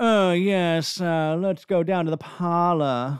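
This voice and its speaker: A man's nasal, high-pitched put-on character voice at a fairly slow pace, with ordinary pitch variation. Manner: snooty, pompous.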